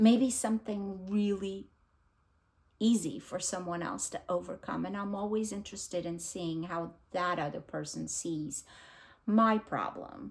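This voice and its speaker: Speaking fairly slowly with a non-native accent, a woman uses a medium pitch and ordinary pitch variation. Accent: foreign accent, noticeable. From abroad, immigrated at thirteen. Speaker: book vlogger. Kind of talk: casual vlog talk. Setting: home recording, unedited. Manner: casual, hesitant with many fillers.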